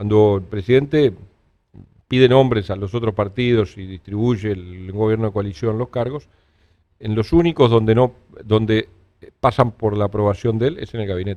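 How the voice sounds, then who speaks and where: A man with a fairly low, dark, mellow voice talks at a moderate pace with ordinary pitch variation and long, frequent pauses. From Uruguay. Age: 60s. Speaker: politician. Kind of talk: interview.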